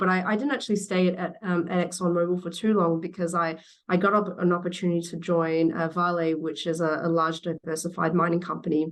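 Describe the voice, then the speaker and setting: With an Australian accent, a woman speaks at a fairly low pitch and a moderate pace. Her intonation stays monotone and flat. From Western Australia, Perth. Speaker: battery industry executive. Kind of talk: interview. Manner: halting, many fillers and repeats.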